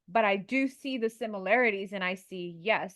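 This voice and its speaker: A woman speaks with a Curaçao accent at a medium pitch. Her pace is moderate, and the recording is very clean with a silent background. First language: Papiamento. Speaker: podcast co-host. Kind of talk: casual podcast conversation.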